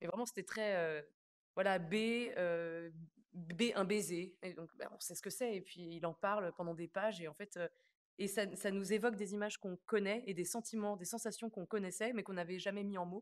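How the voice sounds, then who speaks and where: The woman's medium-pitched voice keeps a fairly even intonation at a moderate speed. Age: 20s. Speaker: stage actress. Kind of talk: interview. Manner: halting, many hesitations.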